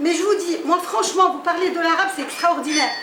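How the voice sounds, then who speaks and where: A woman's voice with audible room echo. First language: Moroccan Arabic (darija) (speaking French). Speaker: literary salon host and writer. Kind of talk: panel discussion. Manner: halting.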